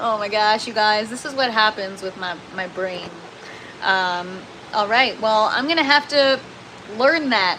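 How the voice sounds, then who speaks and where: A woman speaks at a fairly high pitch and a fairly slow pace, with ordinary pitch variation. She leaves long, frequent pauses over noticeable background noise. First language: French. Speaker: gardening livestreamer. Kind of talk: casual livestream chat reading comments. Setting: livestream in indoor grow tent. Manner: casual, many filler words; sometimes garbled speech.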